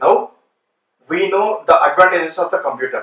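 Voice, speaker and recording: Here a man speaks at a fairly quick pace with a high pitch. Audible room echo surrounds his voice. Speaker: programming teacher. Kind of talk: lecture. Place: classroom.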